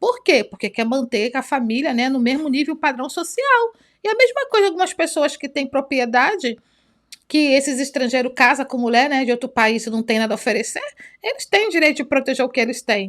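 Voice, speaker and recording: With lively intonation, a woman speaks at a fairly quick pace in a high voice. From Brazil. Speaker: youtuber. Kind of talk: reaction commentary. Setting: home recording with two cameras. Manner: animated.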